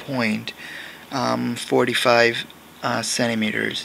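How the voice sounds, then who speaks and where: Someone speaks with a non-native accent. Background noise is noticeable. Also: man. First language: not English. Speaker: crafting video maker. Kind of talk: tutorial. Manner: halting.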